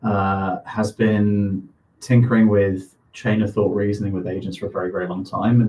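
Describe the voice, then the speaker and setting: A man with a British accent speaks at a moderate pace in a fairly low, somewhat breathy voice. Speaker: co-founder of a crypto AI startup. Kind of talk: live stream product demo. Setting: live stream.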